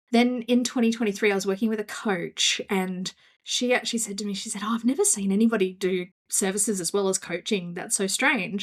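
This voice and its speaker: Woman with an Australian accent, medium pitch, fairly even intonation, and fairly quick pace. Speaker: business coach. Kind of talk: casual interview.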